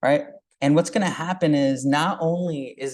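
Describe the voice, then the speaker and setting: Over a quiet background, a man speaks at a moderate pace with a fairly high pitch and ordinary pitch variation. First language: Urdu. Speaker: high school STEM teacher presenting. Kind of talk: tech demo presentation at meetup. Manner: hesitant, many fillers.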